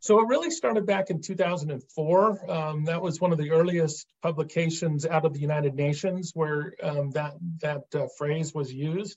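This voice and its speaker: In an American accent, a man with an unremarkable speaking voice talks at a fairly high pitch with fairly even intonation and hardly any pauses. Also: moderate pace. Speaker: state treasurer, former investment manager. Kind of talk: interview, explaining policy.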